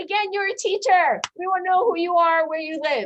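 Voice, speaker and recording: Loud and animated, a woman speaks at a fairly quick pace in an extremely high pitch, with ordinary pitch variation. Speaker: school personnel administrator. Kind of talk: workshop presentation.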